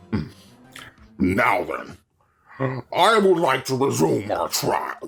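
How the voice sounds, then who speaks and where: A man's growling put-on character voice at a medium pitch and very slow pace, with faint music in the background. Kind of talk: video game voice acting. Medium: game stream.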